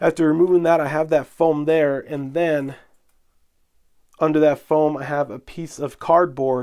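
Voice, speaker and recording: A man's fairly high-pitched voice with a dark, mellow tone, monotone, flat intonation and a moderate pace. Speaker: model railroading video host. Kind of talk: tutorial. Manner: casual, conversational.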